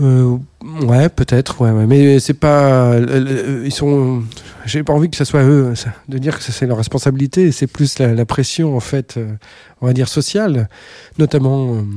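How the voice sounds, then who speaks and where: Dark and mellow in tone, the voice moves at a fairly slow pace with fairly even intonation on a very clean recording with a silent background. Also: man, medium pitch for a man. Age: 50s. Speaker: saxophonist and electronic music producer. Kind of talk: casual interview. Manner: hesitant, many fillers.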